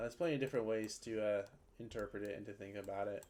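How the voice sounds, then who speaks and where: Quiet speech comes at a very fast pace. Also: man. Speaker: video game streamer. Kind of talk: casual livestream chat while gaming. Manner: monotone; quiet, muted.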